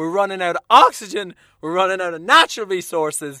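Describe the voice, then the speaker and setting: A man with a high pitch uses a raised, projected voice and a bright, sharp, animated tone. The recording is very clean, with a silent background. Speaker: podcast host. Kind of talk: casual solo monologue. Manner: animated, profane, comedic.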